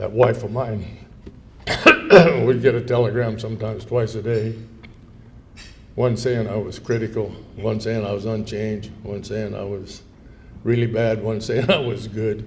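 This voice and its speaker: Long, frequent pauses break up a man's flat, monotone speech, delivered at a moderate pace with audible room echo. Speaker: war veteran. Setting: luncheon event with audience. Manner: conversational.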